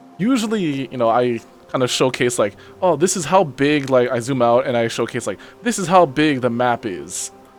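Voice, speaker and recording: A man at a medium pitch and moderate pace, lively intonation, with music in the background. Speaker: VTuber. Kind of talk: casual game commentary. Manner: casual, chatty.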